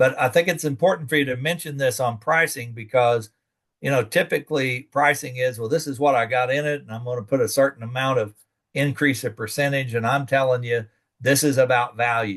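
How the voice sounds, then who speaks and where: An ordinary speaking voice at a fairly quick pace, fairly even intonation, over a quiet background. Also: man, medium pitch for a man. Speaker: extension educator. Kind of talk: lecture.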